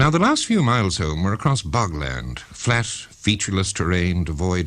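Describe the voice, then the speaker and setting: This voice has vocal fry and lively intonation, in an Irish accent. The pace is moderate. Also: man. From Ireland. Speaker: writer. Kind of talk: personal ghost story narration.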